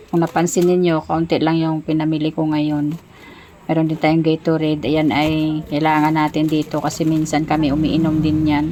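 A woman's very deep, low voice at a moderate pace, monotone and flat, over noticeable background noise. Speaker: sari-sari store owner and vlogger. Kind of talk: casual vlog narration. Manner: hesitant, with fillers.

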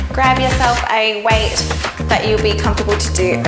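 Loud music plays in the background. A woman speaks over it at a moderate pace. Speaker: fitness instructor. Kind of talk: workout instruction. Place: home room. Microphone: lapel.

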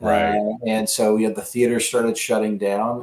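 The room gives off audible echo. In it, a man is talking. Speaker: remote podcast guest, attorney. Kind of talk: interview answer. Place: home room.

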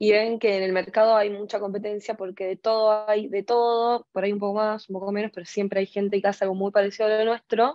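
The voice runs at a very fast pace in a monotone, flat intonation with hardly any pauses, a dry sound with no echo, and a quiet background. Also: woman, medium pitch for a woman. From Argentina. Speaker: fashion marketing student; speaker. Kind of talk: panel discussion. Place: home room. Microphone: earbuds.

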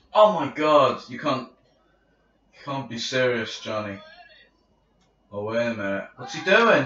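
In a room with audible echo, a man with a medium pitch speaks fairly slowly in an animated tone, his intonation lively, his loudness swinging widely, and his pauses long and frequent. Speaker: gaming video commentator. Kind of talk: gameplay commentary. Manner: animated, exclamatory.

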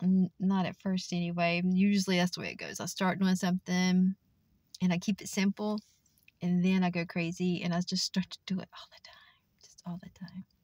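The voice is somewhat breathy, with a monotone, flat intonation at a fairly quick pace. The sound is dry with no echo over a quiet background. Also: woman. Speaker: vlogger. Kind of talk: casual vlog chat. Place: car. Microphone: phone near.

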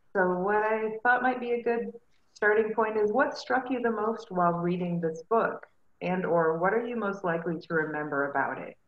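Noticeable background noise sits behind a woman with a fairly high pitch who talks at a moderate pace with lively intonation. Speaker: librarian, discussion facilitator. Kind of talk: book club discussion. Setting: video call.

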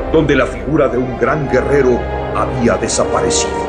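A man speaks over loud music in the background. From Mexico. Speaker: voice actor. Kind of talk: anime narration. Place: booth. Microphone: studio mic.

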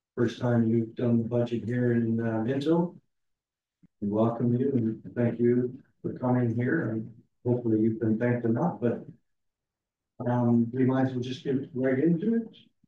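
A man speaks with fairly even intonation and long, frequent pauses, with light background noise and audible room echo. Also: moderate pace. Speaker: meeting chair opening council session. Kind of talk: formal meeting chairing. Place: hall.

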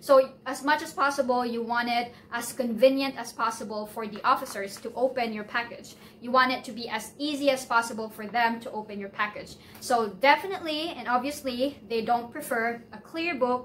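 A woman's high-pitched voice with ordinary pitch variation, a moderate pace and light background noise. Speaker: visa process vlogger. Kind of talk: tutorial. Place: home room. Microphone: phone near.

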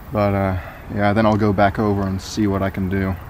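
Over light background noise, a man speaks at a fairly low pitch and moderate pace with monotone, flat intonation, the sound dry with no echo. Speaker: urban explorer vlogger. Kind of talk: casual vlog chat. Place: street. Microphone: phone near.

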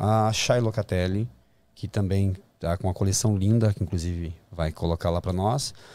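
A man speaks at a moderate pace with fairly low pitch, fairly even intonation and a dark, mellow tone, the sound dry with no echo. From Brazil. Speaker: fashion designer and actor; actor. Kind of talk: interview. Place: studio. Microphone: studio mic.

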